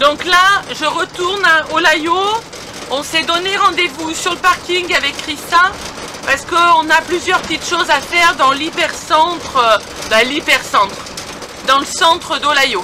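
A woman speaks in a raised, projected voice at a fairly slow pace, with long, frequent pauses. Her pitch varies in an ordinary way, and noticeable background noise runs underneath. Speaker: motorhome traveler vlogger. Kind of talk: casual vlog chat. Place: car. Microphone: phone near.

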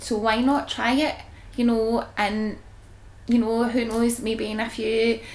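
The speaker has a Glaswegian accent and a fairly slow pace. Light background noise can be heard. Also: woman. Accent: Glaswegian Scottish. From Scotland. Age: 30s. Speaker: psoriasis patient. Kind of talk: testimony. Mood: relaxed, candid, confident. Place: home room.

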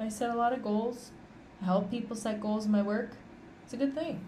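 This woman's voice has a dark, mellow tone and is somewhat breathy. There is audible room echo. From Canada. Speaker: podcast host. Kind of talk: casual monologue. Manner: conversational, unscripted.

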